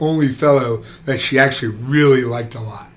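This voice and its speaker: With an American accent, a man speaks at a medium pitch and a moderate pace. His intonation is fairly even, with noticeable background noise. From New Jersey. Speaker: orthopaedic surgeon. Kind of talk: casual interview.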